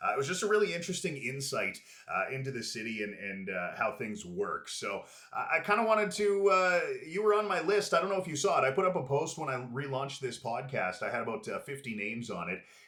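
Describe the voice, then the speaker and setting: Against noticeable background noise, a man with a Canadian accent speaks at a very fast pace in a fairly high pitch, with very wide pitch swings. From Prince George, British Columbia, Canada. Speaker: podcast host, former radio host. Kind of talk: casual interview chat. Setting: studio with camera. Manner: polished radio delivery.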